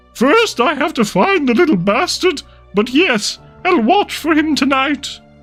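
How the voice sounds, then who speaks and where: A high-pitched put-on character voice moves at a moderate pace. Faint music plays in the background. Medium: read story. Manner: dry, sardonic.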